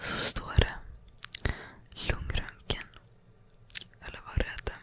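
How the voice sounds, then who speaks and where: Her words come out in a whisper. This woman goes along at a very slow pace. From Sweden. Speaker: ASMR creator. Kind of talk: ASMR storytime, casual personal anecdotes. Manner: whispered, calming. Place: home room. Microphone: studio mic.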